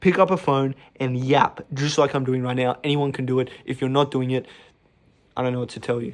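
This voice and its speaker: A man is speaking. His pitch is medium. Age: 20s. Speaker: online business influencer. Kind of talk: motivational talk to camera. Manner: fast; animated.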